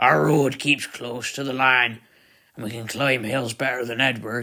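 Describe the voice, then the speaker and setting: The man puts on a raspy character voice at a medium pitch. His loudness swings a lot, while his intonation stays fairly even at a moderate pace. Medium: read story. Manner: calm.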